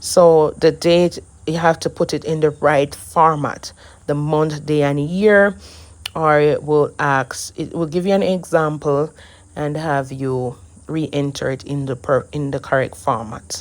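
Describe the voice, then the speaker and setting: Speaking at a fairly slow pace with a Jamaican accent, this woman has a very deep, low pitch and ordinary pitch variation. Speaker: immigration paperwork preparer. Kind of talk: screen-share tutorial.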